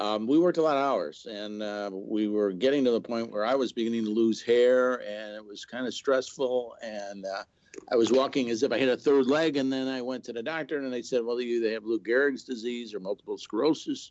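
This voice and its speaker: A man with an American accent talks at a fairly quick pace with hardly any pauses. His medium pitch varies in an ordinary way. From US Midwest, Chicago. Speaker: business leader and author. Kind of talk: interview conversation.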